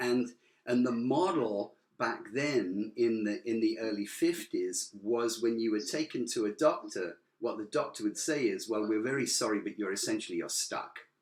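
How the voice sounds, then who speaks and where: A man with a British accent at a moderate pace. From Britain. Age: 70s. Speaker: motivational speaker. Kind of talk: talk to a club audience. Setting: video call to a club audience. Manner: animated; repeats words and restarts.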